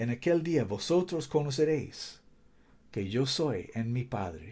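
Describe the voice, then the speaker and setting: A man with a non-native accent, a dark, mellow tone and a somewhat breathy voice, lively intonation and a very slow pace, on a very clean recording with a silent background. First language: not Spanish (speaking Spanish). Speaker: preacher. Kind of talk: sermon. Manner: halting, searching for words.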